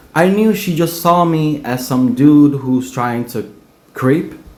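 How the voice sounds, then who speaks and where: A man with a Spanish accent, fairly high in pitch, at a fairly slow pace with lively intonation and audible room echo. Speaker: dishwasher telling personal story. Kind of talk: personal storytelling.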